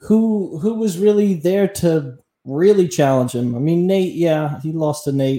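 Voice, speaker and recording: A man's high-pitched voice with a dark, mellow tone, ordinary pitch variation and a fairly slow pace. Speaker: co-host. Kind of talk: casual chat.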